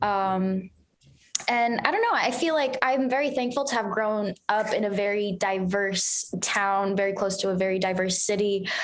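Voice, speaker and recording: A woman with an American accent at a medium pitch and a moderate pace, fairly even intonation and audible room echo. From New Jersey, US. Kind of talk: casual interview chat.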